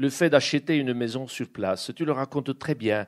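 A man at a fairly slow pace in a very clean recording with a silent background. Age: 50s. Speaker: publisher and event moderator. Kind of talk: moderated interview at a book event. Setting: bookshop event with live audience. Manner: halting.

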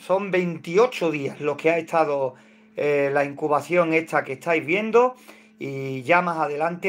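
Speaking at a fairly slow pace, a man lets his pitch vary in an ordinary way. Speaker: hobby poultry incubation channel host. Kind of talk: casual livestream tutorial chat. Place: home room. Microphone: phone near.

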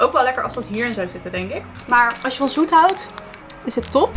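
A woman speaks in a high pitch. Faint music plays in the background. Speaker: food vlogger. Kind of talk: casual vlog chat, taste test. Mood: cheerful, enthusiastic. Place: home room. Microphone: phone near.

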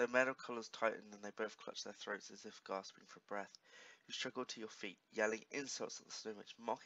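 Delivered in a natural reading voice, the speech has fairly even intonation.

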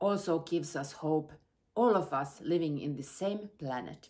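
With a quiet background, a woman uses a normal speaking voice at a fairly low pitch, talking at a fairly slow pace with ordinary pitch variation. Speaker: politician giving video greeting. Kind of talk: prepared speech. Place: home room. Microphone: phone near.

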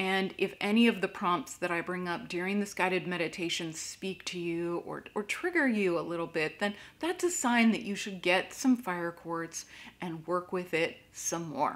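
Soft-spoken and calm, a woman talks in a soothing tone with ordinary pitch variation. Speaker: crystal meditation teacher and Reiki master. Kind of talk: guided meditation with slow breathing prompts and reflective questions. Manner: slow, calm and soothing, with long pauses between prompts; gentle and inviting, posing soft introspective questions. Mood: calm, gentle. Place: home room.

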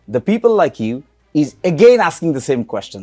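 With music in the background, a man speaks in a high pitch that swings very widely. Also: dry, close sound with no echo. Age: 40s. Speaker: political commentator. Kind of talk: heated debate. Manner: argumentative.

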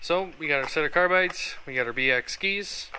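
A man talks with fairly high pitch. His tone is bright and sharp, over faint background noise.

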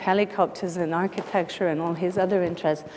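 There is light background noise as a woman speaks with fairly even intonation. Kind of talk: lecture. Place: hall.

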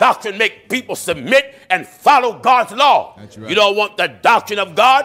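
Speaking at a moderate pace with hardly any pauses, a man uses a raised, projected voice with big swings in loudness. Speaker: preacher. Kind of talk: sermon. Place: church. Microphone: podium.

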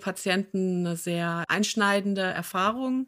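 Very slowly, with ordinary pitch variation, a woman talks in a very clean recording where the background is silent. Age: 50s. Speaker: patient advocate and podcast host, former occupational therapist. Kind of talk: interview conversation.

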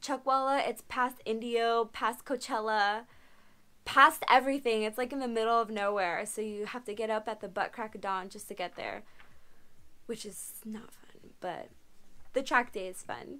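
At a moderate pace, a woman talks with a fairly high pitch, a bright, sharp tone and fairly even intonation.

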